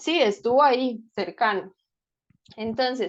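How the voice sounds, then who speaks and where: A woman speaks in a normal speaking voice, fairly high in pitch with ordinary pitch variation. The background is quiet. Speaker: speech-language therapist giving a talk. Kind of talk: lecture.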